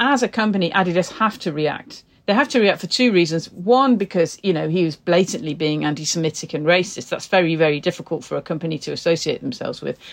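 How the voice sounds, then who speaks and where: Very fast with hardly any pauses, the delivery has lively intonation. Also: woman, fairly low pitch for a woman. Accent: northern English. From northern England. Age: 50s. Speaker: journalist and broadcaster. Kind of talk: interview.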